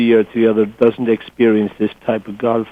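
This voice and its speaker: A man of medium pitch speaks with an Irish accent. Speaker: golf tourism representative. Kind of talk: interview. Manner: hesitant, repeats words.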